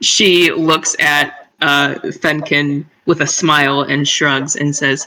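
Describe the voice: The voice moves slowly, with a bright, sharp tone and little pitch movement. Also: woman, low pitch for a woman.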